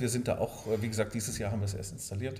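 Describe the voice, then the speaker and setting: A man talks at a very fast pace in a dark, mellow tone. His voice is somewhat breathy. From Swabia, southern Germany (Sindelfingen near Stuttgart). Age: 50s. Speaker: hotel owner. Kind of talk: interview.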